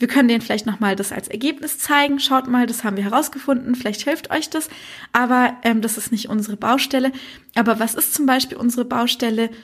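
Intonation stays fairly even as the words come at a fairly quick pace. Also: woman, high pitch for a woman. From Germany, migrant background. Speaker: journalist and innovation manager at a broadcaster. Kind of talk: interview.

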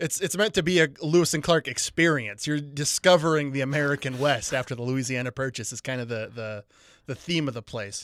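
A man's ordinary speaking voice, fairly high, with ordinary pitch variation, big swings in loudness and a fairly quick pace, on a very clean recording with a silent background. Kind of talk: casual comedic banter between friends.

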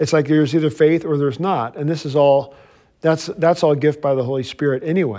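Talking at a fairly quick pace with a Southern US accent, a man has a fairly high pitch, a dark, mellow tone and ordinary pitch variation. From Mississippi, US South. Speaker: pastor. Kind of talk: lecture. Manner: casual, conversational.

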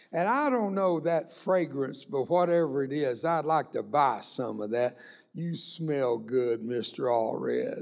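In a very clean recording with a silent background, a fairly high-pitched man speaks at a fairly slow pace with lively intonation. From US South, Texas (Rio Grande Valley). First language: Spanish. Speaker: guest preacher. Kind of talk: sermon. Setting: church service. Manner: animated.

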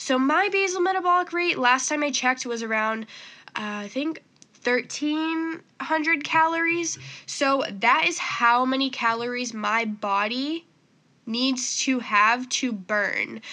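At a very slow pace, a woman with a high pitch and a bright, sharp tone uses a raised, projected voice with lively intonation. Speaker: fitness podcast host. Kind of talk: solo casual podcast talk. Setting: home recording on computer.

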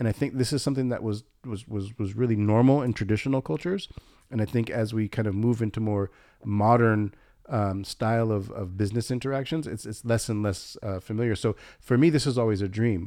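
A man with an American accent talks at a fairly quick pace in a dark, mellow tone. His pitch is medium with ordinary variation. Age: 40s. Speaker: photographer and filmmaker. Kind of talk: casual interview.

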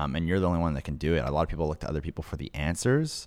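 Heard in a very clean recording with a silent background, a man speaks with a very deep, low pitch and vocal fry. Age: 20s. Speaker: podcast producer. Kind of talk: casual interview.

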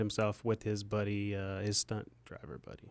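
A man at a moderate pace, a normal speaking voice with fairly low pitch. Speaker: podcast co-host. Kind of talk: casual chat.

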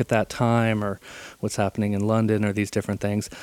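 The speaker is a man. He has an American accent. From Southern California (Encinitas, San Diego). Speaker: percussionist and composer. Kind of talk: casual interview. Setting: recorded conversation on a portable recorder.

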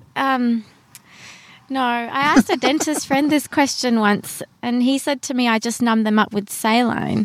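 Fairly slow speech from a woman in an Australian accent, high in pitch, with ordinary pitch variation. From Brisbane, Australia. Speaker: dentist. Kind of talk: casual interview. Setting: in a car.

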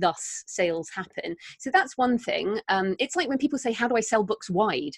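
In a British accent, a woman speaks at a moderate pace with lively intonation. The sound is dry and close, with no echo. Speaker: author and podcaster. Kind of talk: casual interview chat.

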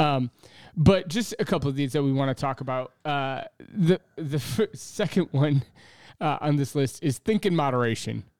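An unremarkable speaking voice with ordinary pitch variation moves at a moderate pace in a dry, close sound with no echo and a very clean recording with a silent background. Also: man, fairly high pitch for a man. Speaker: podcast co-host, pastor. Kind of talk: casual chat.

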